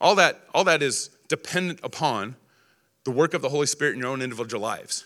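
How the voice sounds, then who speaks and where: The voice moves at a very fast pace with lively intonation and a bright, sharp tone. The recording is very clean, with a silent background. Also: man. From Texas. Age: 40s. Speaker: political speaker. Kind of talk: political speech.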